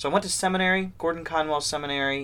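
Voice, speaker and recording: A man with a Midwestern American accent, fairly quick pace and ordinary pitch variation. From US Midwest, north central Ohio. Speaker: seminary professor. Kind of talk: interview.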